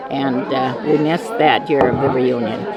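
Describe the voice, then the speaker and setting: Music plays in the background while a woman speaks with lively intonation, and audible room echo surrounds her voice. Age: 80s. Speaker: family elder at reunion. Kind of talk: interview testimony.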